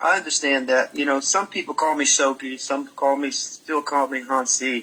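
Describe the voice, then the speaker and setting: Over noticeable background noise, a man with an American accent speaks at a moderate pace and a fairly high pitch, his intonation fairly even. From Maryland, US. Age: 70s. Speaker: martial arts grandmaster, former champion. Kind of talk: casual interview. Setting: live Facebook broadcast.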